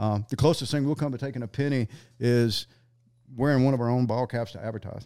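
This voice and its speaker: In a very clean recording with a silent background, a man with a Southern US accent speaks at a very fast pace in a dark, mellow tone. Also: medium pitch for a man. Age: 60s. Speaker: sniper instructor. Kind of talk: casual chat. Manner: animated.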